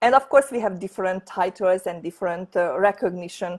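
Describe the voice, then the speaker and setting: A woman's medium-pitched voice with a Hungarian accent, at a fairly quick pace, with ordinary pitch variation and a dry, close sound with no echo. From Hungary. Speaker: network marketing leader. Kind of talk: sales pitch. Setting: online presentation from home office. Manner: halting.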